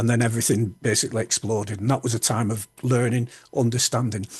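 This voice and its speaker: A man at medium pitch, somewhat breathy, at a very fast pace. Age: 60s. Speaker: public speaker and author with Tourette's. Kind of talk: interview conversation. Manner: halting, repeats words.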